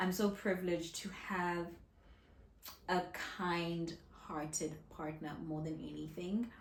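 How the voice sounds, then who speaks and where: Soft-spoken and very slow, a woman talks at a fairly low pitch with vocal fry and audible room echo. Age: 30s. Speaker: content creator. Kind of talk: casual vlog talk to camera.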